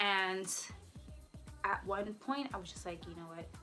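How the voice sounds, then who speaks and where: Music plays in the background as a woman speaks at a medium pitch and a moderate pace. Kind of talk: casual talk to camera.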